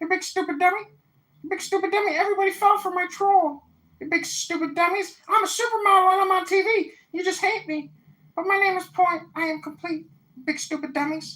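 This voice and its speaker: This put-on character voice sits at an extremely high pitch. It moves at a fairly quick pace. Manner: mocking, taunting.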